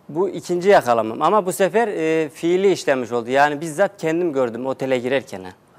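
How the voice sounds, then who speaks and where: Lively intonation marks this man's fairly high voice. He moves at a fairly quick pace with hardly any pauses. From Central Anatolia, Turkey (Nevşehir); Central Anatolia, Turkey. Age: 30s. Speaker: TV show participant seeking divorce; guest. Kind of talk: TV talk show interview. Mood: aggrieved, recounting betrayal. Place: studio. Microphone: lapel.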